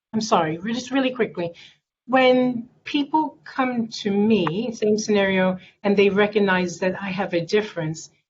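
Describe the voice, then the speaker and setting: A woman's medium-pitched voice, somewhat breathy, moves at a moderate speed with ordinary pitch variation. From England, Jamaican heritage. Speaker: panelist, veteran. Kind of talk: panel discussion.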